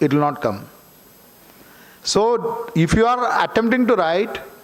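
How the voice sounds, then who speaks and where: With a Keralan accent, a man speaks at a fairly slow pace with lively intonation, with noticeable background noise behind him. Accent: Malayali Indian English. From Kerala, India (rural village). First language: Malayalam. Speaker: author. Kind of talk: seminar talk. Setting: auditorium with audience.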